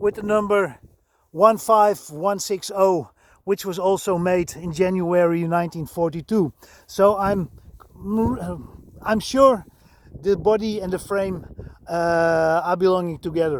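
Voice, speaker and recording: A man with a Dutch accent and a high voice, very slow pace with long, frequent pauses and ordinary pitch variation, in a very clean recording over a silent background. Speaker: vehicle restorer and enthusiast. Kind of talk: video walkaround. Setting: outdoors. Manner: halting.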